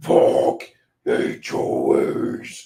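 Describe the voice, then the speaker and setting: A man puts on a character voice that is guttural, raspy and growling. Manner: aggressive, mock-shouting.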